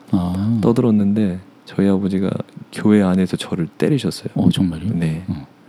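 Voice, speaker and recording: A man speaks at a moderate pace, very deep and low in pitch with ordinary variation. Background noise is noticeable. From South Korea, Seoul area. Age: 30s. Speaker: interview guest. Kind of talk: personal life story interview.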